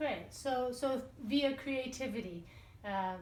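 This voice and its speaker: The voice shows ordinary pitch variation. Noticeable background noise runs beneath it. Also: woman. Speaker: interviewer. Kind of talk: casual interview questions.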